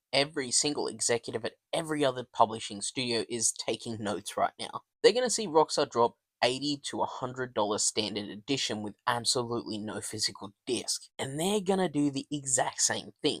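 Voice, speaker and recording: A man speaks in a normal speaking voice at medium pitch and a fairly quick pace with hardly any pauses, in a very clean recording with a silent background. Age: middle-aged. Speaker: gaming commentator. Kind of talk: opinion commentary to camera. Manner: indignant, ranting.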